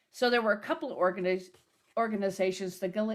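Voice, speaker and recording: On a very clean recording with a silent background, a plain, everyday voice speaks with fairly even intonation. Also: woman. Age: 60s. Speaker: minister and folk singer-songwriter. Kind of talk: talk at a service on history.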